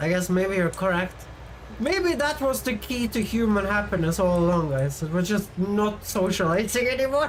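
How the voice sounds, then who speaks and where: A woman speaks at medium pitch and a moderate pace, with lively intonation and very even loudness. Noticeable background noise and audible room echo are present. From Sweden. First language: Swedish. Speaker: vtuber streamer. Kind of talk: casual live-stream chat. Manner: animated.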